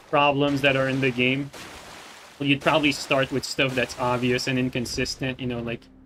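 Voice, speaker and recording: A man with a non-native accent speaks at a moderate pace in a medium pitch, his intonation flat and monotone, over noticeable background noise. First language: not English. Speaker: gaming streamer. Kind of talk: live gameplay commentary. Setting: live stream. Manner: halting, many fillers.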